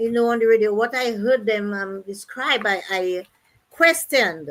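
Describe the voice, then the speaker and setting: Her voice is fairly high for a woman, with a bright, sharp tone and ordinary pitch variation. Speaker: midwife and activist. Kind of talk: interview. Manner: halting, many fillers.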